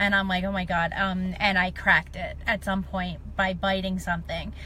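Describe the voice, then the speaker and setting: Audible room echo surrounds a woman's bright, sharp voice at medium pitch, touched with vocal fry. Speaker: livestreamer. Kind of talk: casual live video chat. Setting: Facebook live stream. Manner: hesitant, many fillers.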